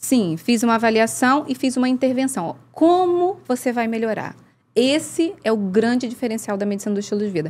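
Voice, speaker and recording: Lively intonation and a moderate pace from a fairly high-pitched woman. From Rio de Janeiro state, Brazil. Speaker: doctor, intensive care and nutrition specialist. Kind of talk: casual interview chat. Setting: studio. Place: studio. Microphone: studio mic.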